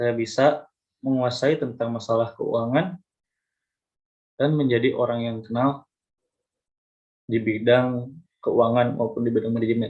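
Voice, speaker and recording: A man with a medium pitch speaks at a fairly slow pace, leaving long, frequent pauses. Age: 20s. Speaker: university student. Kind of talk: mock job interview. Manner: halting, with fillers and restarts; polite, formal.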